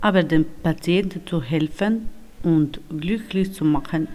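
A woman with a non-native accent at a very slow pace, fairly low in pitch, with ordinary pitch variation. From North Macedonia. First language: not German (speaking German). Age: 30s. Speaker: homemaker, former nurse. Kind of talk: reading aloud.

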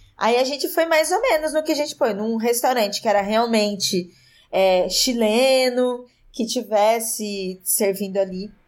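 A woman with a normal speaking voice talks at a fairly high pitch and fairly slow pace, with lively intonation and very even loudness, in a very clean recording with a silent background. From interior of São Paulo state, Brazil. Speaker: podcaster. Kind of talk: casual chat.

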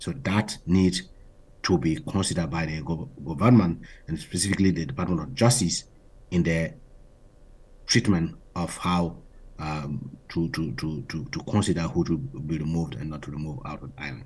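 This voice has vocal fry, a moderate pace and ordinary pitch variation. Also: man, very deep, low pitch for a man. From Burkina Faso. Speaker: human rights activist. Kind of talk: interview. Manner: halting, many repetitions and fillers.

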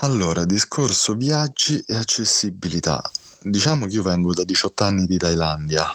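A man with a fairly low pitch, lively intonation and a moderate pace. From Rome, Italy. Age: 40s. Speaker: blind guest sharing illness story. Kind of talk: interview testimony. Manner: halting, repeats words.

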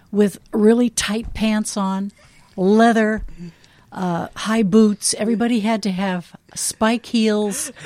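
A woman with an American accent, dark and mellow in tone, at a very slow pace with monotone, flat intonation. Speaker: former nun and teacher, host's mother. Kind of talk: casual chat.

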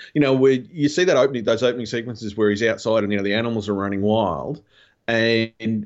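A man is speaking. He has an Australian accent. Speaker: podcast guest, fellow podcaster. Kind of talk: casual chat. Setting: remote call from home recording room.

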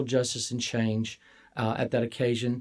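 Speaking at a fairly quick pace in a Southern US accent, a man with a dark, mellow tone is captured in a very clean recording with a silent background. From Mississippi, US Deep South. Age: 50s. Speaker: college administrator. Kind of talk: interview.

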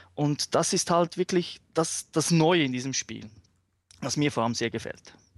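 In an unremarkable speaking voice, a man talks at a fairly slow pace with a fairly high pitch and ordinary pitch variation, recorded dry and close with no echo over a quiet background. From Switzerland. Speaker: fighting game fan. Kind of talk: casual chat. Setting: remote call.

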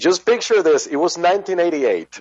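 Speaking with a Spanish accent, a man uses a high pitch with ordinary pitch variation. His pace is fairly slow. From Venezuela. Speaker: rock musician and pharmacist. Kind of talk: interview. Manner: halting.

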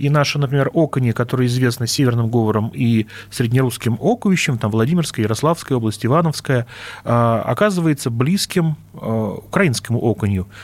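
A man with an ordinary speaking voice and very even loudness. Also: medium pitch for a man, ordinary pitch variation, fairly quick pace. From Russia, Vladimir region. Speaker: linguist, dialectologist. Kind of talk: radio interview.

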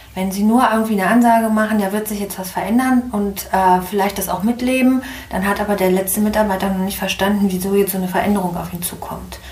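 A woman at a medium pitch, very fast, with fairly even intonation, audible room echo and noticeable background noise. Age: 50s. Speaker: management consultant and coach. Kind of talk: interview.

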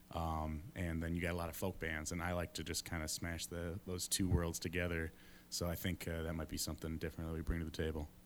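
In a very fast, monotone delivery, a man with an Upper Midwest accent speaks at a very deep, low pitch, recorded very cleanly against a silent background. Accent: Upper Midwest American. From West Michigan (Ada, near Grand Rapids). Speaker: musician, band leader. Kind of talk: interview. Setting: studio with live audience. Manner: halting, many fillers.

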